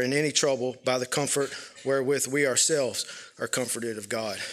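A man's fairly high-pitched voice in a Southern US accent, fairly even in intonation, at a fairly quick pace. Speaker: church member. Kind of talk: testimony. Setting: church. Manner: halting.

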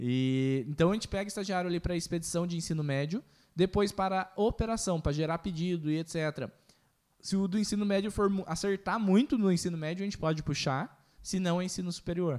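In a very clean recording with a silent background, a man with a high voice talks at a fairly quick pace with ordinary pitch variation. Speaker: podcast host. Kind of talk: casual chat.

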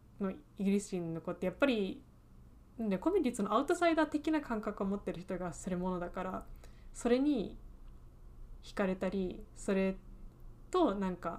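Her intonation lively, a woman of medium pitch speaks at a moderate pace, leaving long, frequent pauses. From England. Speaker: podcast co-host, aspiring screenwriter. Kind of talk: casual chat.

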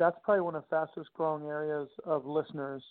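The speaker has a New York accent. The pace is fairly quick. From Long Island, New York. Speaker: conference founder. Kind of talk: interview.

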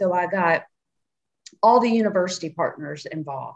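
The tone is animated. The intonation rises and falls in a lively way. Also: woman. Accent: strong Southern US. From Nashville, Tennessee. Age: 50s. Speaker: cannabis and CBD business founder. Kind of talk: interview.

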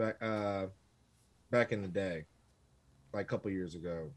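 A man at a moderate pace. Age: 40s. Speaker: podcast guest. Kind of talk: casual chat.

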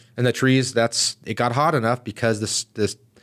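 Speaking very fast with an American accent, a man at medium pitch keeps fairly even intonation on a very clean, dry, close recording with no echo and a silent background. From US, San Diego East County, California. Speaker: fire chief. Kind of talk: interview.

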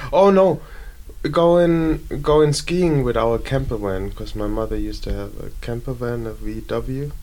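A man speaks with a German accent at a fairly slow pace. Audible room echo surrounds his voice. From Germany, Bavaria (Munich). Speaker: traveller on a tour. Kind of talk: casual chat.

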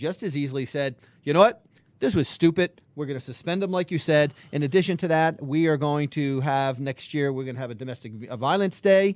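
A man's delivery moves fairly quickly, his intonation lively, in a normal speaking voice. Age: 50s. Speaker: sports podcast co-host. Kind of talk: casual chat.

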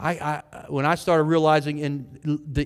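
This man speaks at a fairly high pitch. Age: 50s. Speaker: pastor. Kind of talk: sermon. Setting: church. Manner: animated.

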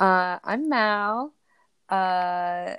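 The pace is very slow, with ordinary pitch variation. The tone is fairly bright, clear and smooth. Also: woman, medium pitch for a woman.

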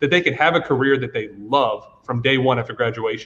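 A man with an American accent talks at a fairly quick pace in a fairly high pitch. He has an unremarkable speaking voice. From US South, Georgia. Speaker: esports educator. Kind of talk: panel discussion.

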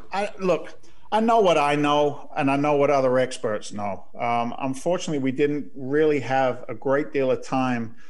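Intonation runs lively at a moderate pace, with noticeable background noise behind it. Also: man, fairly high pitch for a man. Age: 50s. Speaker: radio host. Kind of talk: radio talk show interview. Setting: radio studio.

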